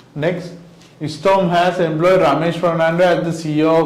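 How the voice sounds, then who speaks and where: Noticeable background noise and audible room echo fill this recording. A man speaks at a moderate pace with a fairly high pitch and fairly even intonation. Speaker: accountancy lecturer. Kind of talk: lecture. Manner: many fillers and self-corrections.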